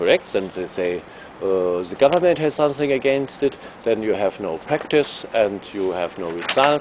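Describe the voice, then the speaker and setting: A man with a German accent, medium in pitch and swinging very widely up and down, at a moderate pace amid noticeable background noise. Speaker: electric vehicle racer and activist. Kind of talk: video presentation. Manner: halting, many fillers.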